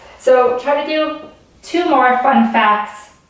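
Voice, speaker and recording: A woman speaks in a high voice with an animated tone and ordinary pitch variation. Noticeable background noise and audible room echo surround her. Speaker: teacher. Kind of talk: online lesson for children. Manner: fast.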